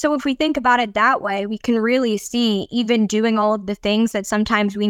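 On a very clean recording with a silent background and a dry, close sound with no echo, a woman with a normal speaking voice talks at a moderate pace, fairly high in pitch, her intonation fairly even. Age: 20s. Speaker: business leadership team member. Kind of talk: casual conversation.

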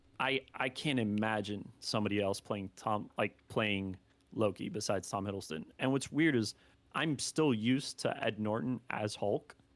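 An unremarkable speaking voice with ordinary pitch variation and a moderate pace, on a very clean recording with a silent background. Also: man, fairly low pitch for a man. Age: 20s. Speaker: anime content creator. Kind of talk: casual chat.

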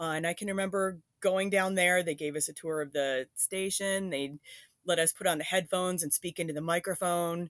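On a very clean recording with a silent background and a dry, close sound with no echo, an unremarkable speaking voice with an American accent moves at a fairly quick pace with fairly even intonation. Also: woman, fairly low pitch for a woman. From upstate New York. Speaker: former college radio DJ. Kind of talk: interview reminiscence.

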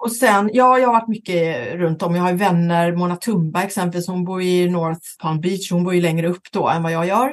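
With hardly any pauses, a woman speaks at a moderate pace and a fairly low pitch, varying her pitch in an ordinary way. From western Sweden, Gothenburg area. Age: 50s. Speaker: talent agent, company founder. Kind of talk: interview.

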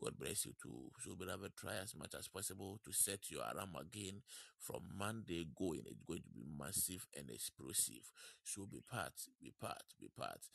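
A man's voice is very deep and low, warm in tone, with vocal fry and lively intonation. He keeps a moderate pace, and the sound is dry and close with no echo. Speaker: online prayer broadcast host. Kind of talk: worship, prayer and announcements. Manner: warm, fervent, repetitive.

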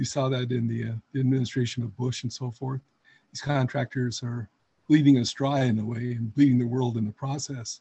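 A man at a fairly quick pace, somewhat breathy, with monotone, flat intonation. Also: medium pitch for a man. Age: 70s. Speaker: peace advocacy volunteer. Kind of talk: group call discussion. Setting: video call.

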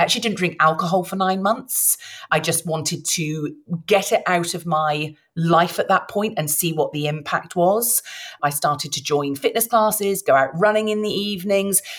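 This woman has a British accent and a fairly low pitch. She talks at a moderate pace with ordinary pitch variation. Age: 40s. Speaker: midlife transformation mentor. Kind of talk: interview.

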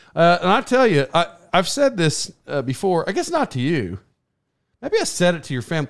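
Talking at a fairly quick pace, a high-pitched man makes very wide pitch swings. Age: 40s. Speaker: podcast host. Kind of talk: casual interview. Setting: live stream. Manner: halting.

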